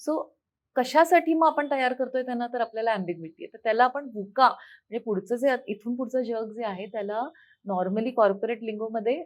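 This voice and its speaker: Over a quiet background, a woman speaks at a fairly high pitch with ordinary pitch variation. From Amravati, Maharashtra, India. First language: Hindi (speaking Marathi). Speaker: foundation founder and parenting coach. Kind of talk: interview.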